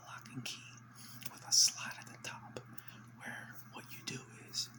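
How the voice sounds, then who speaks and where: Whispering, a man speaks at a fairly slow pace. Noticeable background noise is present. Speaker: ASMR creator. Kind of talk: casual whispered rant to camera. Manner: whispered.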